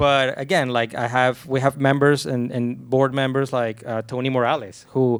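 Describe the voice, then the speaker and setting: With a Venezuelan accent, a man speaks at medium pitch and a fairly slow pace in a monotone, flat intonation. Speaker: film composer, panelist. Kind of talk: panel discussion.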